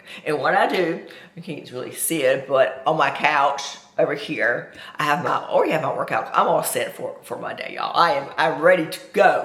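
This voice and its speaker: A moderate-paced woman's voice amid noticeable background noise and audible room echo. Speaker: fitness coach. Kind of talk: vlog tutorial. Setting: at home. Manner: loud; casual, chatty.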